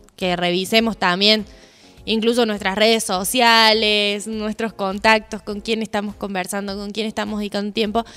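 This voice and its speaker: Music plays in the background as a woman speaks at a medium pitch and moderate pace, her intonation monotone and flat. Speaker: podcast co-host. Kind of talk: casual chat.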